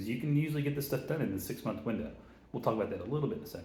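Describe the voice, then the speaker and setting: Very fast speech with lively intonation, audible room echo and noticeable background noise. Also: man. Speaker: real estate investor. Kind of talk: tutorial. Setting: office, big concrete room. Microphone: echo in a bare room.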